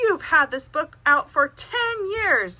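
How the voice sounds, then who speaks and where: Using a put-on character voice, a woman sounds squeaky and extremely high, with very wide pitch swings at a fairly slow pace. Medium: read story.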